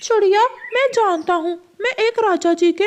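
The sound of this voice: Fairly slow delivery in a cartoonish character voice.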